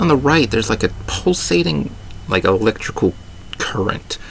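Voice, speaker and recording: A man speaks at a moderate pace, his pitch swinging very widely, with noticeable background noise behind him. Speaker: gaming YouTuber. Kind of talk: video commentary breakdown. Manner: hesitant with fillers.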